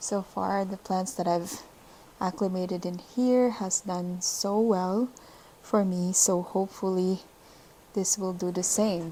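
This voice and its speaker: Speaking very slowly, a woman keeps a medium pitch and a fairly even intonation. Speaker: plant video creator. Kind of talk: casual tutorial vlog. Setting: at home.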